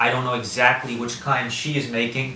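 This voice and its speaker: A man with an American accent talks at a moderate pace and medium pitch, his intonation fairly even. Noticeable background noise and audible room echo are present. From US, Washington DC area. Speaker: interviewee. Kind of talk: interview. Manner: hesitant, many fillers.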